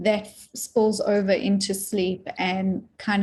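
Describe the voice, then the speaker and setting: This woman talks at a medium pitch with a South African accent, in a flat monotone. Her voice is somewhat breathy. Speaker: dream teacher and author. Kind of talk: interview.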